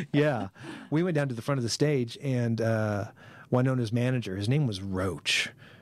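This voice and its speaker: A man speaks with a Midwestern US accent at a moderate pace. His pitch varies in an ordinary way. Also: medium pitch for a man. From Kansas, Concordia. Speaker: TV promotions manager, former radio broadcaster. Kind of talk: casual chat. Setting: studio.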